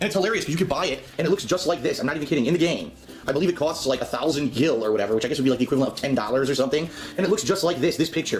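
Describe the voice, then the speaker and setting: A man speaks at a very fast pace with lively intonation and an animated tone. Noticeable background noise runs underneath. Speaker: gaming youtuber. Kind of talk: casual product review.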